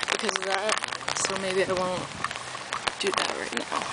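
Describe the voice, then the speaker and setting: A woman talks at a moderate pace, the sound dry with no echo despite loud background noise. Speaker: vlogger. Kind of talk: casual vlog chat. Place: street. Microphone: phone near.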